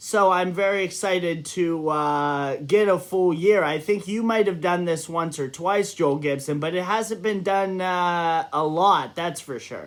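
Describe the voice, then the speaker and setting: A man talks in a high pitch at a fairly slow pace. He leaves hardly any pauses. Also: ordinary pitch variation. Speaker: fantasy basketball league manager. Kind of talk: casual recap chat.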